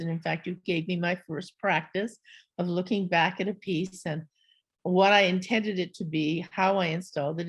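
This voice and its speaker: A woman talks at a moderate pace with a fairly low pitch. Her voice is somewhat breathy and her intonation monotone and flat. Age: 70s. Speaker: artist and scholar. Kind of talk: panel conversation.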